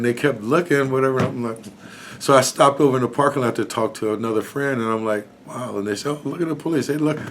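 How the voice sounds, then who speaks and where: Over noticeable background noise, a man with an American accent talks at a very fast pace with ordinary pitch variation. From Marin City, California. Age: 60s. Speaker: interviewee sharing experience of racial profiling. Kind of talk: casual storytelling interview. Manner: animated.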